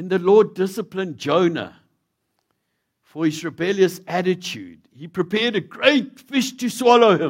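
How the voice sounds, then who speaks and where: In a South African accent, the speaker uses lively intonation at a moderate pace, with big swings in loudness. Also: man, high pitch for a man. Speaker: visiting preacher. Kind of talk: sermon. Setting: church.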